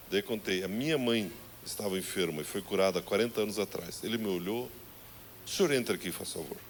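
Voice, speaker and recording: A man with a fairly low voice speaks fairly quickly, his pitch varying in an ordinary way. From southern Brazil. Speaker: pastor. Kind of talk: sermon. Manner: animated.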